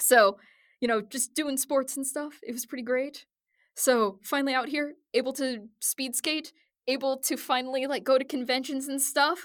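An animated voice with an American accent moves at a moderate pace in a very clean recording with a silent background. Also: woman, high pitch for a woman. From US Midwest. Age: 30s. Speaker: voice actor and cosplayer. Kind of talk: casual chat. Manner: animated, joking.

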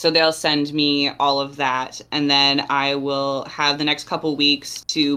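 A woman talks in a very deep, low pitch. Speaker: storyboard artist. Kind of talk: casual interview chat.

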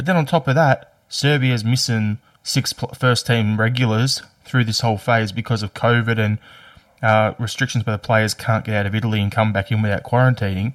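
Here a man speaks with an Australian accent at medium pitch and ordinary pitch variation. His pace is moderate, and the sound is dry and close with no echo. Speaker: podcast host. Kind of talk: casual chat.

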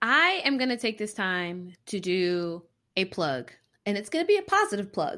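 A woman speaks at a moderate pace with a medium pitch and very wide pitch swings, her tone animated, bright and sharp. The background is quiet. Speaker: physician podcast host. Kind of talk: casual chat. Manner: animated, joking.

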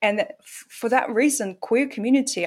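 A woman speaks with a Russian accent. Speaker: author and poet. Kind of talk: interview. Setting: video call.

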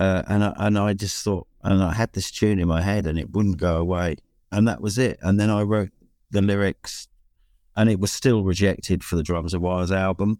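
This man has a very deep, low pitch and a dark, mellow tone, speaking at a moderate pace with a British accent. The recording is very clean and the background silent. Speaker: songwriter and bass player. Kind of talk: casual chat. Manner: hesitant, many fillers.

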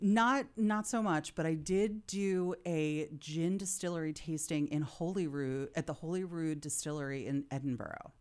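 In a very clean recording with a silent background, a woman with an American accent uses a normal speaking voice, fairly low in pitch with ordinary variation, at a moderate pace with hardly any pauses. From Philadelphia. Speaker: managing director of a co-working space. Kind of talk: casual interview chat.

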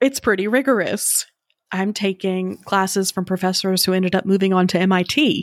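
A woman's plain, everyday voice with an American accent, medium in pitch with ordinary pitch variation, at a moderate pace, very even in loudness, in a very clean recording with a silent background and a dry, close sound with no echo. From US South, rural North Carolina. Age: 30s. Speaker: podcast host telling her own story. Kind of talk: interview testimony. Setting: studio.

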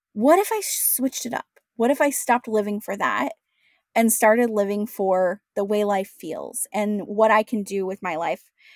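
On a very clean recording with a silent background and a dry, close sound with no echo, a woman with an American accent has an ordinary speaking voice, a fairly high pitch, ordinary pitch variation and a moderate pace. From US Pacific Northwest, Washington State. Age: 30s. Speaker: entrepreneur. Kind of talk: interview.

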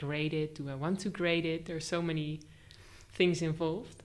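Speaking at a moderate pace, a woman uses a very deep, low pitch and a flat, monotone delivery. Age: 20s. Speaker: art teacher trainee. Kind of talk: casual interview. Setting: studio, face to face.

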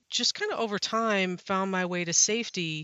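Fairly even in intonation, a woman talks at a medium pitch in an American accent. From Wisconsin, US Midwest. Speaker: safety professional, university program leader.

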